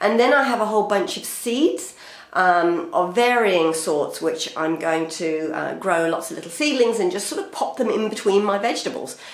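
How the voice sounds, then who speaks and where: A woman speaks at a medium pitch and a moderate pace with lively intonation over noticeable background noise. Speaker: urban gardener. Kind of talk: casual talk to camera.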